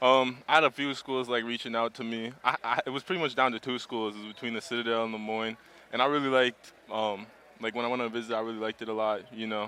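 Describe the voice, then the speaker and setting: A man talks at a very fast pace with fairly even intonation. His tone is bright and sharp. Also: medium pitch for a man, quiet background. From Minnesota, US. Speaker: college basketball player. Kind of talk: post-game radio interview. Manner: casual.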